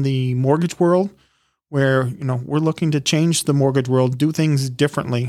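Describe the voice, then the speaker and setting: A man with an American accent and a normal speaking voice, fairly high in pitch, at a moderate pace with fairly even intonation, on a very clean recording with a silent background. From Michigan, Detroit area. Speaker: podcast co-host, mortgage professional. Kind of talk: casual chat.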